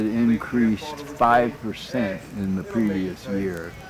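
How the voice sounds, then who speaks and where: A man speaking at a very slow pace, with music in the background. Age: 80s+. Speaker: retired mathematical statistician. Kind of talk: interview answer.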